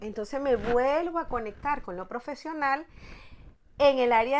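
A woman speaks in a high voice at a fairly slow pace. Her intonation is lively. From Venezuela, La Guaira (Vargas state). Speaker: therapist and personal development teacher. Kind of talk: interview.

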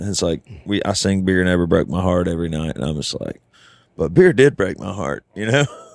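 With a Southern US accent, a man talks at a fairly quick pace in a very deep, low voice with lively intonation. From US South. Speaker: country singer-songwriter. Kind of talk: casual chat. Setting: studio.

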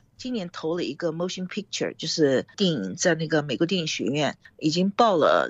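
A woman's vocal fry at a very deep, low pitch, with lively intonation and a fairly quick pace. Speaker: film director and producer. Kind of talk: interview.

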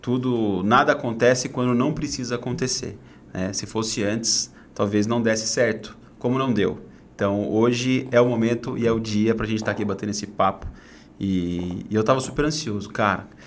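A man talks at a moderate pace and medium pitch, with ordinary pitch variation and audible room echo. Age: 30s. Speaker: entrepreneur and personal development coach. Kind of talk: casual interview chat.

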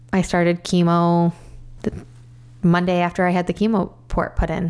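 A woman with an American accent, fairly low pitch, moderate pace and monotone, flat intonation. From US Midwest, northern Illinois. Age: 40s. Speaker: cancer survivor. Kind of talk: interview.

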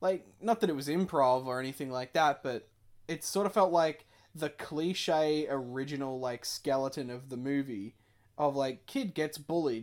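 An unremarkable speaking voice with lively intonation at a fairly slow pace, on a very clean recording with a silent background. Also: man. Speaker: podcast co-host. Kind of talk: casual banter podcast chat. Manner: joking, interrupts often.

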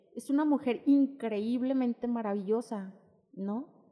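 Her tone is dark and mellow. The woman speaks at a high pitch with ordinary pitch variation. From Mexico. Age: 30s. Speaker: poet and radio producer. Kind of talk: podcast interview.

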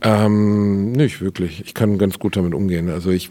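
A man with a dark, mellow tone speaks at a fairly low pitch with fairly even intonation. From Ruhr area, Germany (Gelsenkirchen). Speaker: comedian. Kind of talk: casual interview.

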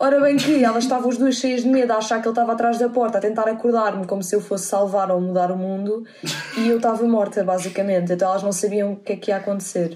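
A woman speaks at a very fast pace and a fairly high pitch, with fairly even intonation. Noticeable background noise runs under her voice. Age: 20s. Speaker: podcast guest. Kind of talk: casual chat.

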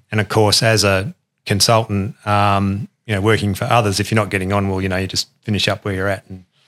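At a fairly quick pace, an ordinary speaking voice comes through on a very clean recording with a silent background. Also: man, dry, close sound with no echo. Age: 50s. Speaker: engineering consultant. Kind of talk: casual interview chat.

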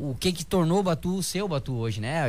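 Music plays in the background as a man talks at a fairly high pitch. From southern Brazil (Rio Grande do Sul, Santa Rosa). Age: 20s. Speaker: bodybuilder and personal trainer. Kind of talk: casual radio interview. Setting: radio studio.

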